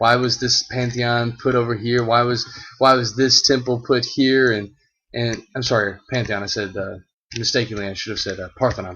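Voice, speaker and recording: Moderate pace with fairly even intonation. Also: man. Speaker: Latin teacher. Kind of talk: presentation walk-through. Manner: halting, many fillers.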